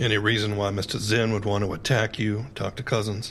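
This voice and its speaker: In a put-on character voice, a man speaks at a fairly quick pace with a raspy, fairly low pitch and monotone, flat intonation over clear background noise. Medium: audio drama. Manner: detached, businesslike.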